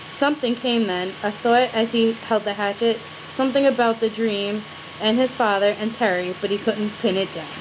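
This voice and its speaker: A woman with an American accent speaks with fairly even intonation over noticeable background noise. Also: moderate pace. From New York. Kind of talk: casual chat. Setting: video call. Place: home room. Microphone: video call.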